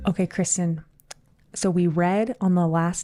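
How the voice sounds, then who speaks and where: A woman speaks quietly at a moderate pace. Her voice is fairly low in pitch with a dark, mellow tone. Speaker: pickleball podcast co-host and pro player. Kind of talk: casual chat. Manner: quiet, hushed.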